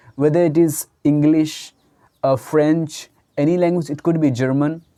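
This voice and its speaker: The speech comes at a moderate pace in an Indian accent, recorded very cleanly against a silent background. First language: Hindi. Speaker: English teacher. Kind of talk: tutorial. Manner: halting.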